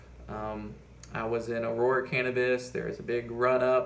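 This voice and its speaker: A man speaks at a medium pitch with audible echo from the room. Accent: American. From Appalachia, US. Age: 20s. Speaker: finance YouTuber. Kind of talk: casual vlog monologue. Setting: at home. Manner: halting, many fillers.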